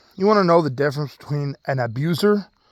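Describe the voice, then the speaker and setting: At a fairly quick pace, a man with a fairly high voice speaks with ordinary pitch variation. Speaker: vlogger. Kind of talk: personal vlog rant. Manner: casual, halting with fillers.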